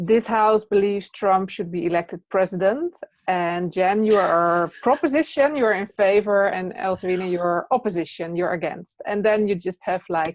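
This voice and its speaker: A woman's medium-pitched voice with a Dutch accent, ordinary pitch variation, a moderate pace and hardly any pauses, over a quiet background. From Netherlands. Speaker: presence teacher and trainer. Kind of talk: interview.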